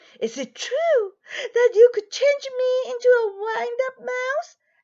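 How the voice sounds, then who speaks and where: Using a put-on character voice, a woman speaks at a fairly slow pace in an extremely high, shaky, squeaky pitch. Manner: quivering.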